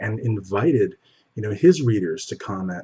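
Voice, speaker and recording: Somewhat breathy, a man speaks at a fairly quick pace with a fairly low pitch and ordinary pitch variation. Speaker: bodybuilding news show host. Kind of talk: news commentary. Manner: soft-spoken.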